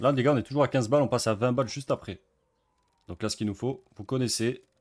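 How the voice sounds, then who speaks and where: Rushing along at a very fast pace, a man speaks in a medium pitch. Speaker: gambling streamer. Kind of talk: casual commentary while gambling online. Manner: animated.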